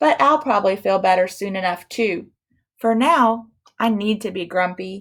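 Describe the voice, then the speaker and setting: Using a put-on character voice, a woman at medium pitch for a woman speaks at a moderate pace with lively intonation on a very clean recording with a silent background. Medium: read story. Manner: sulky, grumbling.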